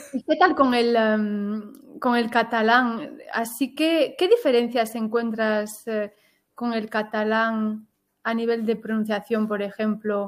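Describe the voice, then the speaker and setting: The speech comes at a very slow pace with ordinary pitch variation on a very clean recording with a silent background. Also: woman, fairly high pitch for a woman. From Switzerland, Galician-speaking family. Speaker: podcast host and Spanish teacher. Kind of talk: interview, casual chat.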